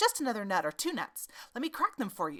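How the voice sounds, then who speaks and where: Using a put-on character voice, a woman with a fairly high pitch races along at a very fast pace with very wide pitch swings. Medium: read story. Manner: chuckling, coaxing.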